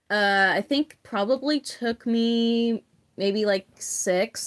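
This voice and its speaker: A shaky voice in a dry, close sound with no echo. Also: woman. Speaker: livestreamer making therian masks. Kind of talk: casual livestream chat while crafting.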